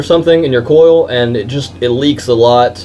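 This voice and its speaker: Noticeable background noise sits behind a man with a Southern US accent who talks at a moderate pace and medium pitch with lively intonation. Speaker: vape shop employee. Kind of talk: product tutorial. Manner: stuttering; casual, filler-heavy.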